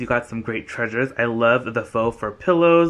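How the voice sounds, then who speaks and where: A man speaks at a fairly slow pace. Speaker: vlogger. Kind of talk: casual Q&A vlog. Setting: at home, in his room.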